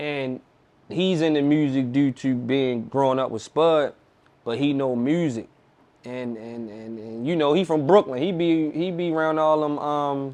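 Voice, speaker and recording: This man talks in a Baltimore accent at a fairly slow pace. His pitch is fairly high, with ordinary variation. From Baltimore, US (east side). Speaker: rapper. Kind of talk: casual interview chat.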